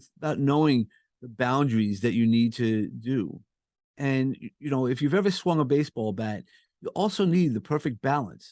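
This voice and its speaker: Lively intonation carries the speech at a moderate pace in a dry, close sound with no echo. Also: man. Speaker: podcast host and coach. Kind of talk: casual interview chat. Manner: comforting; halting with repeated words.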